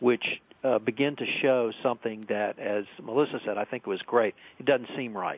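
A man with an American accent and an unremarkable speaking voice, medium in pitch, with ordinary pitch variation and a fairly quick pace. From central Texas. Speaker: compliance attorney. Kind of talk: radio panel discussion. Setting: phone call.

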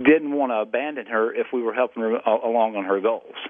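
A man with a Southern US accent. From South Carolina. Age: 40s. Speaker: radio host.

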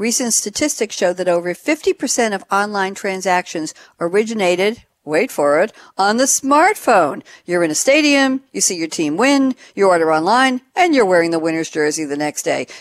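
A woman with a New York accent at a moderate pace, very wide pitch swings, a dry, close sound with no echo and a quiet background. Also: medium pitch for a woman. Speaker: radio host. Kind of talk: interview. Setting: studio. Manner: animated.

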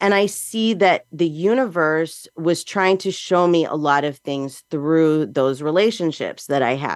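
In an ordinary speaking voice, a woman with a fairly low pitch talks at a fairly slow pace with lively intonation and hardly any pauses against a quiet background. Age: 40s. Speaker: psychic medium podcast host. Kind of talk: solo talk on spirituality and relationships. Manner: casual, conversational.

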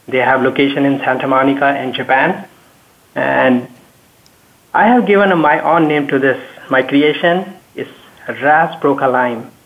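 Over noticeable background noise, a man with a fairly high pitch talks at a fairly slow pace, leaving long, frequent pauses. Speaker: technology expert. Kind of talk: panel discussion.

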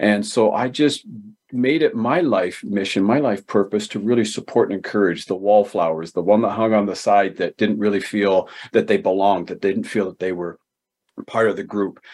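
A man speaks in an ordinary speaking voice with a Canadian accent, his pitch fairly low with ordinary variation. He keeps a moderate pace against a quiet background. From Ontario, Canada (Galt). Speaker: author and speaker. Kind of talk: interview.

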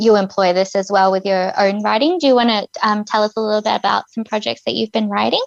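Using an ordinary speaking voice, a woman talks at a fairly high pitch with fairly even intonation. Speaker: co-host. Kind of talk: casual interview chat.

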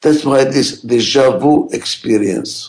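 Here a man talks with a strong non-native accent. His voice has vocal fry. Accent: heavy foreign. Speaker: radio host and management expert. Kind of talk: pre-recorded talk radio monologue.

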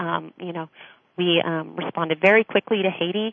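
A woman with an American accent speaks in a normal speaking voice at a medium pitch. Her pace is fairly quick and her intonation fairly even. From United States. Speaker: charity program director. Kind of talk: radio interview.

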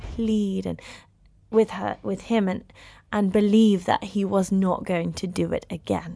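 At a moderate pace, a woman talks in a British accent. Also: quiet background. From United Kingdom. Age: 30s. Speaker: actress and screenwriter. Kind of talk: interview.

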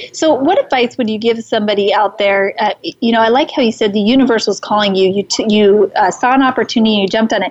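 Speaking at a very fast pace with hardly any pauses, a woman keeps a very even loudness and uses a fairly high pitch with ordinary pitch variation. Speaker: livestream host and speaker. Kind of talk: casual live-streamed interview. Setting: live stream at an event. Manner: soft-spoken.

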